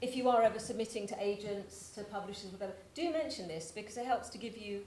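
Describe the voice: The clip consists of plain reading aloud.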